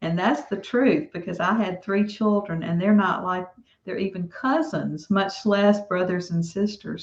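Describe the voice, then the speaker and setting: A woman talks at a fairly slow pace in a Southern US accent. Her pitch varies in an ordinary way. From US South. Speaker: author. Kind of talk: interview.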